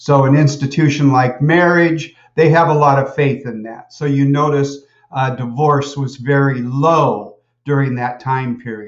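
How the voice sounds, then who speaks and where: Audible room echo surrounds a man who speaks slowly at a fairly high pitch with fairly even intonation. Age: 60s. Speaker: college lecturer. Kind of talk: lecture.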